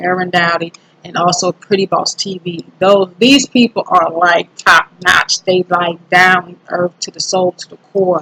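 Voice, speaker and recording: Big swings in loudness mark a woman's speech in a South Carolina accent. She leaves hardly any pauses, and the sound is dry and close with no echo. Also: medium pitch for a woman, fairly even intonation. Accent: Southern US (South Carolina). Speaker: YouTuber, self-improvement vlogger. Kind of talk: casual vlog monologue. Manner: hesitant, many fillers.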